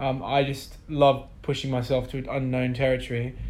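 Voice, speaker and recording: A man speaks at a medium pitch and a moderate pace. Audible room echo surrounds his voice. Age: 20s. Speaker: musician. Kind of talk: interview. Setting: office.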